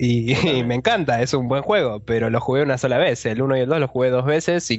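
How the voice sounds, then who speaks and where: The speaker has a Rioplatense accent and a fairly quick pace. Pitch varies in an ordinary way, with noticeable background noise. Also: man. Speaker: gaming podcast host. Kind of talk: casual chat.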